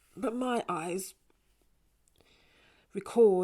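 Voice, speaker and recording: A woman with a London accent and a dark, mellow tone, on a very clean recording with a silent background. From North London. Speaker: performance poet. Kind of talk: poetry performance. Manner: rhythmic.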